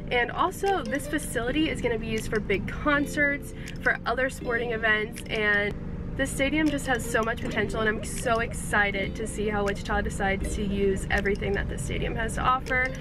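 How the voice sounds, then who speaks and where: A woman talks at a fairly quick pace with ordinary pitch variation. The sound is dry with no echo, and there is noticeable background noise. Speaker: sports vlogger. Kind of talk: casual vlog chat. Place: car. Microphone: phone near.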